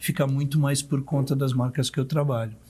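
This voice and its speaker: On a very clean recording with a silent background, a man speaks in a fairly high, somewhat breathy voice. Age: 60s. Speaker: art director and luxury event producer. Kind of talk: podcast interview.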